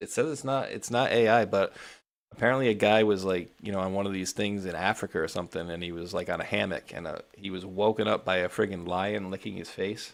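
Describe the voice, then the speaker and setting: A man talks at a very fast pace with a New England accent. The recording is very clean with a silent background. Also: fairly low pitch for a man, ordinary pitch variation. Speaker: political talk show host. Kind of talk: casual chat. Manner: casual, filler-heavy.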